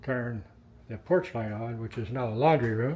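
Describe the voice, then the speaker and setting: A man is speaking. His pace is fairly slow. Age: 60s. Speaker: retired real estate investor and vlogger. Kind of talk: walkthrough tour of a house. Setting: inside a house being renovated. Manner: loud; casual.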